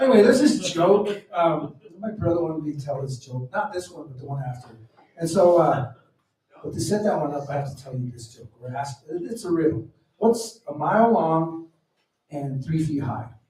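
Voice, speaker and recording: A man's fairly high voice at a moderate pace, with lively intonation and big swings in loudness. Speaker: stand-up comedian. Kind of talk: stand-up. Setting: stage with audience at open mic. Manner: halting, many fillers.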